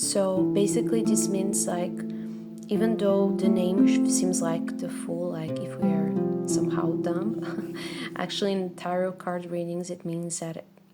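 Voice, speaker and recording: Over music in the background, a woman with a non-native accent speaks at a fairly slow pace. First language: not English. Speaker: tarot card reader. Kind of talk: ASMR tarot card reading. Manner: soft-spoken, whispered.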